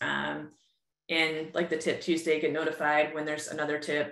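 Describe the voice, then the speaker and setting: A woman's very deep, low voice with an American accent, at a moderate pace, with audible room echo. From upstate New York. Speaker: user group host, marketing technology consultant; user group host. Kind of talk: webinar presentation. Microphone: webcam.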